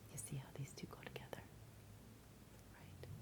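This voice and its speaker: The voice is whispering. It is soft-spoken throughout. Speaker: ASMR creator. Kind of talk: ASMR roleplay, crystal card reading. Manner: occasional whispering, smiling.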